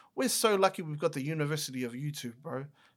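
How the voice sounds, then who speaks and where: Here is a man talking. He has an Auckland accent. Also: very clean recording, silent background. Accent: New Zealand (South Auckland). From New Zealand, South Auckland. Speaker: podcaster and content creator. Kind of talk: casual chat.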